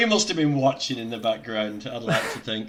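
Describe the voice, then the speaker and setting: A man talks over noticeable background noise. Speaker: vegan livestream host. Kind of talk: casual livestream interview talk.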